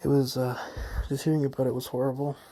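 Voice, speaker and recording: This man talks at a fairly quick clip, his voice somewhat breathy with a dark, mellow tone. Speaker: gamer explaining his ban and recovery. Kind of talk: personal testimony. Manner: unscripted with many ums.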